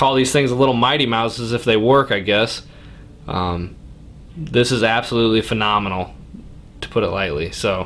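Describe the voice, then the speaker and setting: A man talks at a medium pitch and moderate pace, with ordinary pitch variation and long, frequent pauses. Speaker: hunting channel host reviewing gear. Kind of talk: product review and unboxing. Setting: basement man cave, indoors.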